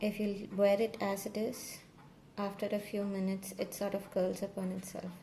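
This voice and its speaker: A soft-spoken woman talks with fairly even intonation over light background noise. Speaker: crochet maker and tutorial creator; tutorial creator. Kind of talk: tutorial. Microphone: phone near.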